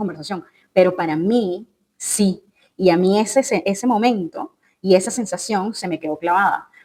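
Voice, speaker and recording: This woman's voice has a dark, mellow tone at a medium pitch. Her intonation is lively. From Venezuela. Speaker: career and life coach. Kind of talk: podcast monologue. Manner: conversational with fillers.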